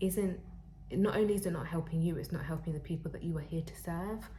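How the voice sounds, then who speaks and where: A woman's very deep, low voice amid audible room echo and noticeable background noise. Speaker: tarot reader; spiritual counselor. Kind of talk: tarot reading to camera. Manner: halting, with fillers.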